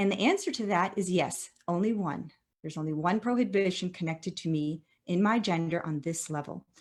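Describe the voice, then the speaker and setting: The pace runs fairly quick. Intonation rises and falls in a lively way. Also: woman. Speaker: professor. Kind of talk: lecture. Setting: video call. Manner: fast; halting.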